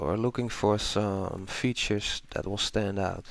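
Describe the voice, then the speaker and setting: This man talks at a fairly slow pace. He speaks with a non-native accent. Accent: non-native English speaker. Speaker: illustrator and art tutor. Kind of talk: tutorial. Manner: casual, with filler words.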